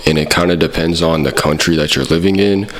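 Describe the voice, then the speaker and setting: Over noticeable background noise, a man speaks in a very deep, low pitch. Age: 20s. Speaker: comedy youtuber. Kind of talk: comedic parody monologue. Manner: casual.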